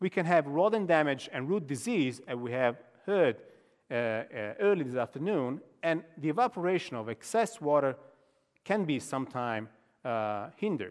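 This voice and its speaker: Over a quiet background, a man with an Italian accent and a fairly high pitch makes very wide pitch swings at a moderate pace, with long, frequent pauses. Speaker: professor. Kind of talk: lecture. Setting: stage with audience. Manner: halting.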